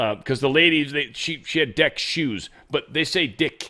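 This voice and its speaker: A man's bright, sharp tone sits at a fairly high pitch with ordinary pitch variation. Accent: American. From USA. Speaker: political commentary streamer. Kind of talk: casual commentary on played clips. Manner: rambling, hesitant.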